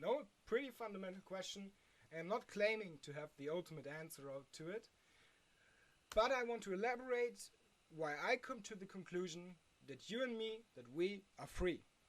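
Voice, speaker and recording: Speaking in a German accent, a woman has a medium pitch. Her pitch swings very widely. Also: moderate pace, big swings in loudness. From Germany. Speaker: philosophy video creator. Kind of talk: unscripted explainer monologue. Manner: halting, with many fillers.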